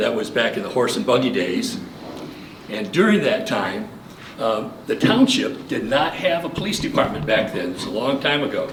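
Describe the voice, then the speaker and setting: A man speaks at a moderate pace in a fairly high voice with very wide pitch swings. Audible room echo and noticeable background noise fill the recording. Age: 70s. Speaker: local election candidate. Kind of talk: campaign speech. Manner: halting.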